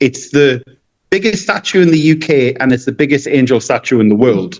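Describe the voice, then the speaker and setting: Speaking with a northeastern English accent, a man uses a fairly high pitch and lively intonation. His pace is fairly quick and his loudness very even. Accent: non-Cork, English northeast. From northeast England (Gateshead). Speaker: balloon artist and magician. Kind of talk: podcast interview. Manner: halting, many restarts.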